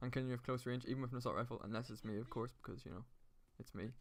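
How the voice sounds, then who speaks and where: A man with an Irish accent. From Ireland. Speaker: gaming YouTuber. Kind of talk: gameplay commentary. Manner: casual.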